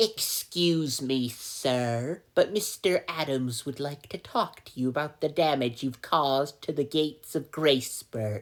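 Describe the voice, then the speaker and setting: A put-on character voice sits at a low-to-middle pitch. It moves at a fairly slow pace. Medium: solo performance. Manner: formal, stiff.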